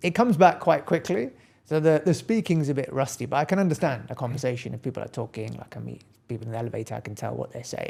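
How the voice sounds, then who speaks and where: Talking at a very fast pace with a British accent, a man at medium pitch shows vocal fry, lively intonation and big swings in loudness, on a very clean recording with a silent background. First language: Gujarati. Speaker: accountant and practice owner. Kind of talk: casual interview chat.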